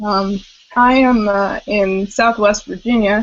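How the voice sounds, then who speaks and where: Woman with a normal speaking voice, medium pitch, fairly even intonation, and an American accent. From Seattle, US Pacific Northwest. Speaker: theatre technician. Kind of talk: casual chat.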